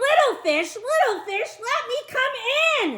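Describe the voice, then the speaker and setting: A woman's put-on character voice, squeaky, bellowing and extremely high, at a fairly slow pace. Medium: read story. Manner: roaring, threatening.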